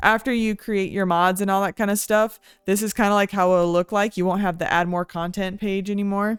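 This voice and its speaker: With an ordinary speaking voice, a woman talks at a medium pitch with fairly even intonation on a very clean recording with a silent background and a dry, close sound with no echo. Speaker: vtuber gaming tutorial creator. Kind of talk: tutorial. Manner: casual, many filler words.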